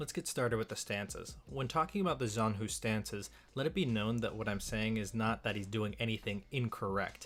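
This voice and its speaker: A man with a strong Western US accent talks at a fairly quick pace and a medium pitch. His tone is bright and sharp. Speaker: video game and sword YouTuber. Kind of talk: scripted video commentary.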